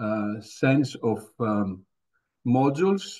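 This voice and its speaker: Speaking at a very slow pace, a man talks with a Greek accent. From Greece. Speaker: professor. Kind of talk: lecture. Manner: hesitant, many fillers.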